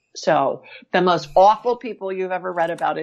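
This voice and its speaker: A woman with an American accent talks at a fairly quick pace in an ordinary speaking voice. Her pitch is fairly low, with ordinary pitch variation. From Ohio. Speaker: medical intuitive and author. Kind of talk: interview. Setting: remote call.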